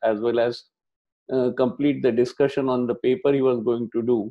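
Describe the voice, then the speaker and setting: A man speaks with monotone, flat intonation. The background is quiet. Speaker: lecturer at online workshop. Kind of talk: lecture. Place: home room. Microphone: earbuds.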